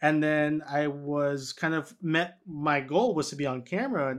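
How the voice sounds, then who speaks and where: Against a quiet background, a man with a fairly high pitch uses a normal speaking voice and fairly even intonation. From New York City, Washington Heights. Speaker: physical therapist and health educator. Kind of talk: interview.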